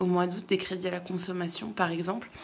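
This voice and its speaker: Audible room echo surrounds a woman's speech. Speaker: tarot card reader. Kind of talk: tarot reading monologue. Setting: at home, dining room table. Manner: hesitant, many filler sounds.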